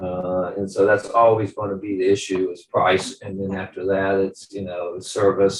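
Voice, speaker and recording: This somewhat breathy voice moves at a moderate pace with an American accent. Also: man. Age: 70s. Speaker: business owner, client. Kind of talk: testimonial interview. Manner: halting, many fillers.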